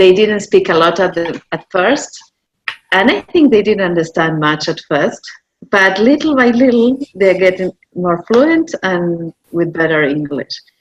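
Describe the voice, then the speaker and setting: With a Spanish accent, a woman speaks at a fairly slow pace and medium pitch, her intonation lively. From Argentina. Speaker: online course designer. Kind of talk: interview discussion.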